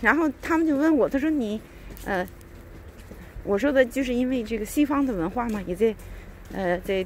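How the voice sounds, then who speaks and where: The delivery has lively intonation at a moderate pace, broken by long, frequent pauses. Light background noise sits under a dry sound with no echo. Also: woman. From China. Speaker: vlogger. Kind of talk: casual monologue. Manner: hesitant, many fillers. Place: street. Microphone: phone near.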